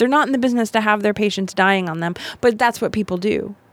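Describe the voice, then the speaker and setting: A woman's fairly high pitch with an American accent, an ordinary speaking voice, ordinary pitch variation and a fairly quick pace. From US South, Miami, Florida. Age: 40s. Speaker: death doula and storytelling show producer. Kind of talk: casual chat. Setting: studio.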